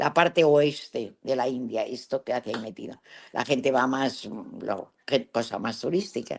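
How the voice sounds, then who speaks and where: A woman with lively intonation. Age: 80s+. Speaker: travel adventurer. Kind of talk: interview storytelling. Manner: halting.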